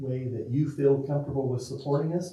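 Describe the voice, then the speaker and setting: Over noticeable background noise and audible room echo, a man speaks at a fairly high pitch with fairly even intonation. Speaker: school district official presenting to city council. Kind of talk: public meeting presentation. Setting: city council meeting. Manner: fast; informal, repetitive with restarts.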